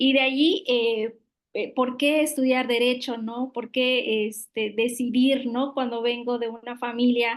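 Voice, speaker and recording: Over a quiet background, a woman with a Yucatán accent speaks very slowly in a high pitch with monotone, flat intonation. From Yucatán, Mexico (Mayan community near Tekax). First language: Yucatec Maya (speaking Spanish). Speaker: public official, lawyer. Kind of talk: interview. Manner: hesitant, many fillers.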